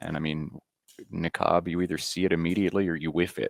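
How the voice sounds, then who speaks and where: Quiet and very deep, a man's low voice holds fairly even intonation in a very clean recording with a silent background and a dry, close sound with no echo. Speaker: Scrabble commentator. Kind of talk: live commentary. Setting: overhead commentary booth near playing room. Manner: quiet, hushed.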